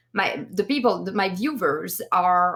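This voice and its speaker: A woman with a French accent speaks at a fairly slow pace, with a medium pitch and ordinary pitch variation. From France. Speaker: streamer podcast co-host. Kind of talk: casual chat. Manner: animated.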